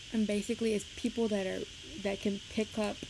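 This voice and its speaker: There is noticeable background noise as a woman speaks in a monotone, flat voice at a fairly slow pace. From Puerto Rico. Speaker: streamer. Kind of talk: casual live stream chat. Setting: live stream with webcam.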